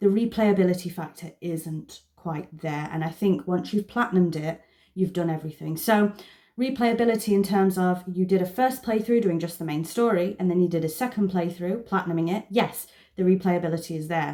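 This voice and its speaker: Using a dark, mellow tone, a woman with a medium pitch talks at a fairly quick pace with ordinary pitch variation. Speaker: gaming youtuber. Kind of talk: casual monthly wrap-up vlog. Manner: fast.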